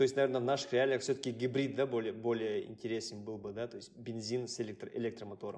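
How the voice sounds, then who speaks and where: The speech races at a very fast pace with fairly even intonation. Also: man, medium pitch for a man, hardly any pauses. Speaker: podcast co-host. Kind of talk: podcast interview.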